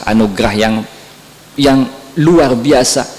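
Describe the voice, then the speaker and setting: A man is speaking with audible room echo. Noticeable background noise is also present. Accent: Madurese. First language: Madurese (speaking Indonesian). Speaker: Islamic preacher. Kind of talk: sermon.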